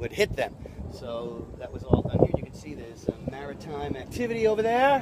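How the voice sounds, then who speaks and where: A man shouts at a fairly quick pace with big swings in loudness. Noticeable background noise runs underneath. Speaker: travel vlogger. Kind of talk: casual on-location tour narration. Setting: outdoors at a fort by the water. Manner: animated; loud, yelling over wind.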